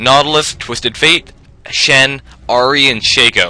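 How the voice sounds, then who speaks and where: This is a normal speaking voice. The pace is fairly slow. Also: man. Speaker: game shoutcaster. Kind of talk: esports-style game commentary.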